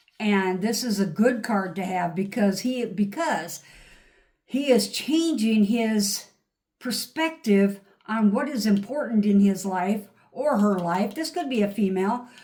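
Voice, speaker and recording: A woman speaks fairly slowly in a dark, mellow tone, pitched fairly high for a woman. Her intonation is lively and her voice somewhat breathy. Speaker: tarot reader. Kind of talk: tarot reading. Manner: animated.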